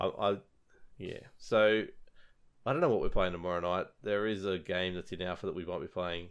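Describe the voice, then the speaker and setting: In an Australian accent, a man talks at a moderate pace with fairly low pitch, ordinary pitch variation, and long, frequent pauses. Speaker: podcast host. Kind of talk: casual chat.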